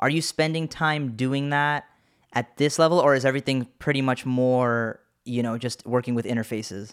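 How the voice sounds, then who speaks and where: This man has a normal speaking voice at a medium pitch. His intonation is fairly even and his pace is moderate. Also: very clean recording, silent background. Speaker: podcast host. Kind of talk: interview conversation.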